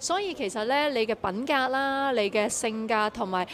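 At a moderate pace, a woman speaks with lively intonation and a fairly high pitch over light background noise. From Hong Kong. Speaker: singer. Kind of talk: media interview. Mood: friendly, encouraging. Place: hall. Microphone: handheld.

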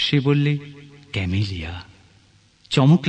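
With a somewhat breathy quality, a man talks in a lively, rising-and-falling intonation. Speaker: poetry reciter. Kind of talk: poetry reading.

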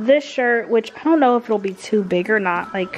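A woman talks with ordinary pitch variation. Light background noise can be heard. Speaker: home vlogger. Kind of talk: casual vlog chat. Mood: excited, upbeat. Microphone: camera far.

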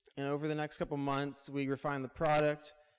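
A man with an American accent at a very fast pace, against a quiet background. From US West Coast. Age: 20s. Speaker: entrepreneur. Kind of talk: talk to a live audience. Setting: stage with audience. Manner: casual, with filler words. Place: hall. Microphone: handheld.

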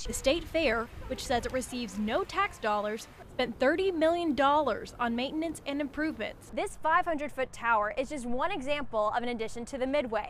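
Against noticeable background noise, a woman talks at a fairly quick pace in a high pitch with lively intonation. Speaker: TV news reporter. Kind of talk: TV news report.

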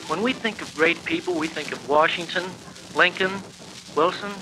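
A man with a high voice talks at a moderate pace with fairly even intonation, and noticeable background noise can be heard. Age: 20s. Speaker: university student. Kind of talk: speech class tribute narration. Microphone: old recording.

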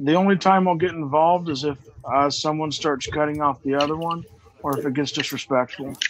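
A man talks at a fairly quick pace in a normal speaking voice, fairly high in pitch. His intonation is fairly even, with light background noise behind him. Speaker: debate moderator. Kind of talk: debate moderation. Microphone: video call.

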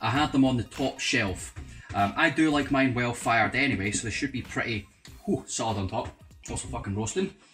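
Faint music plays in the background. Over it, a man speaks at a fairly quick pace. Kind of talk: tutorial. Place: kitchen.

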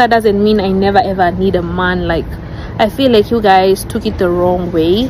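Speaking at a moderate pace and medium pitch, a woman keeps her intonation fairly even, the sound dry with no echo but noticeable background noise. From Kenya, Nairobi; Kenya. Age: young. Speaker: wife of a YouTuber; vlogger. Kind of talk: personal video addressing rumours. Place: garden.

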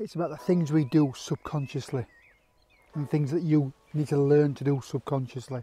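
At a fairly slow pace, a man speaks with faint music in the background. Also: dry sound with no echo. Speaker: landscape photographer vlogger. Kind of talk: tutorial. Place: open country. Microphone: lapel.

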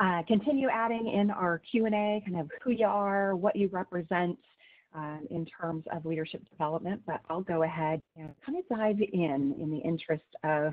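A woman in a plain, everyday voice, fairly low pitch and ordinary pitch variation, at a moderate pace over a quiet background. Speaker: webinar presenter. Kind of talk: lecture. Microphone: video call.

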